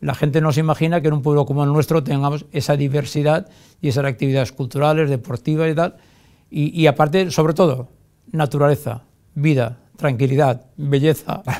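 Over a quiet background, a man talks at a fairly quick pace with a fairly high pitch. His tone is dark and mellow, and his intonation fairly even. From Valencia region, Spain. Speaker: mayor. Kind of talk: TV interview; interview answer. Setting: TV studio. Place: studio.

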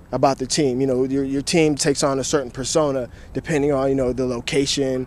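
Here a man speaks, with a dry sound and no echo. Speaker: sports debate host. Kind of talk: interview answer. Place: open country. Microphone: handheld.

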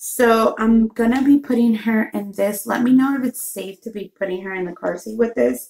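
A woman, fairly high-pitched, at a moderate pace with hardly any pauses, ordinary pitch variation, and big swings in loudness. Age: 20s. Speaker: mom vlogger. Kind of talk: casual talk to camera. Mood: relaxed, soft-spoken. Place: home room. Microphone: phone near.

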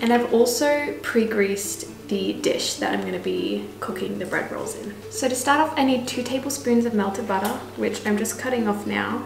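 Clear music plays in the background as a woman speaks. She keeps a moderate pace with hardly any pauses. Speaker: home cook vlogger. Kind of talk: casual cooking tutorial chat. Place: kitchen. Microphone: camera far.

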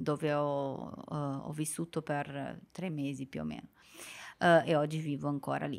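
A woman's voice against a quiet background. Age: 20s. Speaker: Italian teacher for foreigners. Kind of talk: casual chat. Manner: halting. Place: studio. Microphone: studio mic.

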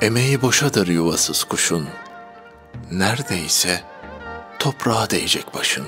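Over background music, a man with a medium pitch talks at a fairly slow pace, his voice making very wide pitch swings between long, frequent pauses. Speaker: poetry reader. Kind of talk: poetry reading.

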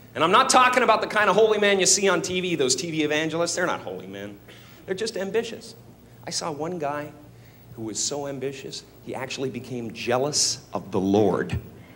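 With vocal fry and a bright, sharp tone, a man talks at a fairly quick pace, his pitch swinging very widely and his loudness swinging a lot, over light background noise. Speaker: stand-up comedian. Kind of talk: stand-up comedy routine. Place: stage. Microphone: handheld.

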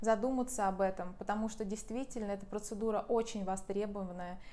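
Talking at a fairly quick pace, a woman keeps her intonation flat and monotone. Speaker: massage trainer. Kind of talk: tutorial. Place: home room. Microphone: lapel.

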